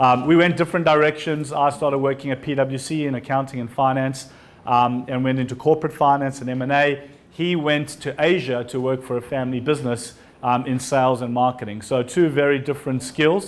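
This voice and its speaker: He speaks with a strong South African accent at a medium pitch. His pace is fairly quick and his intonation fairly even. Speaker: entrepreneur and invited speaker. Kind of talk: talk to an audience.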